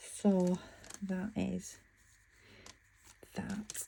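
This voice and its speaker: This woman speaks with a British accent. Her pitch is medium. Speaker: craft vlogger. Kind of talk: casual tutorial. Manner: mumbling; chatty, halting.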